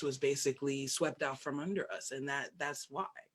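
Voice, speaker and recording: In an American accent, a woman speaks with a very deep, low pitch and fairly even intonation. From New York City. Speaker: scholar-practitioner of Africana religions, priestess. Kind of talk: interview answer.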